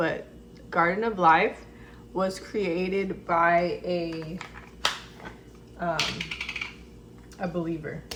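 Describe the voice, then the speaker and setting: A woman's mumbling at a fairly low pitch, with audible room echo. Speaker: lifestyle vlogger and esthetician. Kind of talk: casual vlog. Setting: at home, camera far away. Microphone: far from camera mic.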